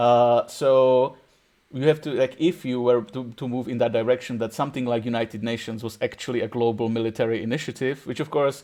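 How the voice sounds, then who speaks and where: Speaking with a Czech accent, a man has a dark, mellow tone, medium pitch and fairly even intonation over a quiet background. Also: fairly quick pace. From Czech Republic. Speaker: podcast host. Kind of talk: casual chat. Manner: halting.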